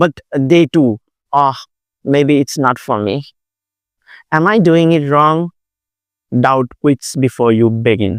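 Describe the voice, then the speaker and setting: A fairly high-pitched man with an Asian accent at a very slow pace, with ordinary pitch variation and a dry, close sound with no echo. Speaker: Buddhist monk. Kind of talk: dharma talk. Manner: hesitant with fillers.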